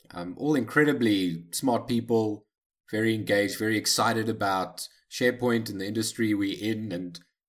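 This is a man with an ordinary speaking voice, fairly low in pitch, at a moderate pace. The recording is very clean, with a silent background. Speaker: podcast co-host.

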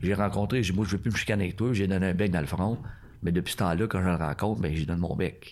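A man with a very deep, low pitch talks at a very fast pace. His loudness is very even, and his pitch variation is ordinary. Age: 60s. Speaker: karate instructor. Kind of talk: casual chat.

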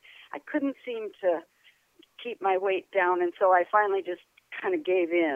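Speech goes at a moderate speed. Its pitch moves up and down very widely. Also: woman. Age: 70s. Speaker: yoga teacher and author. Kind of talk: casual interview.

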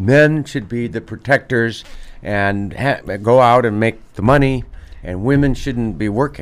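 Here is a man with a plain, everyday voice and an American accent. He talks at a fairly slow pace and medium pitch, with ordinary pitch variation. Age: 60s. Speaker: physician, radio show doctor. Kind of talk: medical radio talk show. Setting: radio studio.

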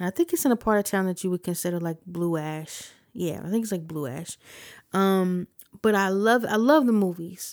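A woman with an American accent speaks in an unremarkable speaking voice at a medium pitch and moderate pace, with ordinary pitch variation, on a very clean recording with a silent background and a dry, close sound with no echo. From Ohio, US. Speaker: podcast host, musician and producer. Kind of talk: casual podcast monologue.

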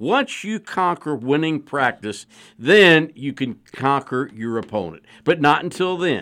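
A man with a fairly high pitch speaks at a fairly slow pace in a bright, sharp tone with lively intonation. The recording is very clean, with a silent background. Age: 60s. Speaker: sports journalist. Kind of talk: casual sports talk radio. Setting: radio studio.

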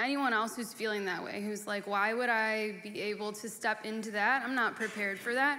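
A woman with a fairly high pitch speaks at a moderate pace in a bright, sharp, nervous tone, her intonation monotone and flat.

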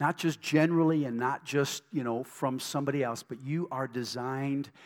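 On a very clean recording with a silent background, a man speaks at a medium pitch in an animated tone with ordinary pitch variation. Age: 60s. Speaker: pastor. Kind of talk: sermon. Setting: church.

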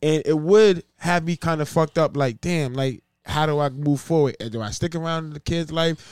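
A man with a New York accent speaks at a moderate pace and a fairly high pitch. The sound is dry and close, with no echo. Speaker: podcast co-host. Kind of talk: casual banter podcast.

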